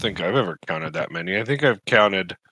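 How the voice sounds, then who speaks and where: Using a raspy, put-on character voice, a man rattles along at a very fast pace in a fairly low pitch with lively intonation. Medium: actual play.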